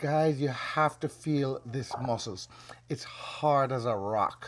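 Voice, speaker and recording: Heard on a very clean recording with a silent background, an ordinary speaking voice shows ordinary pitch variation. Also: man. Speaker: caregiver. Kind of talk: casual talk to camera.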